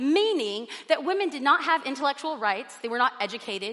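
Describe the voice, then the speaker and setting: A woman with a high pitch speaks at a fairly quick pace in a raised, projected voice, her bright, sharp tone animated and her intonation lively. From Mexican and Puerto Rican family background. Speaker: guest preacher. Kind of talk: sermon. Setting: church with live audience. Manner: loud.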